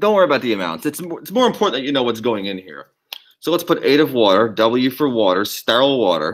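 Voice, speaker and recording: Speaking very fast with vocal fry, a man at medium pitch makes very wide pitch swings and big jumps in loudness. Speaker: biology lab instructor. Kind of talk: lab demonstration tutorial.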